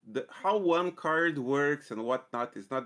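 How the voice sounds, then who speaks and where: Lively intonation with a Balkan accent in a very clean recording with a silent background. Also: man. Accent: Southeast Balkan. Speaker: programming mentor. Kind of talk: coding tutorial. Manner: hesitant, many fillers.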